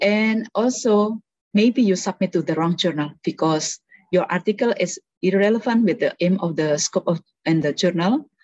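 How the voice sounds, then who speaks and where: A woman's medium-pitched voice with ordinary pitch variation, very even loudness and a moderate pace, in a dry, close sound with no echo. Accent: Indonesian. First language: Indonesian. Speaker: researcher and policy analyst. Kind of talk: workshop presentation. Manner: hesitant, many fillers.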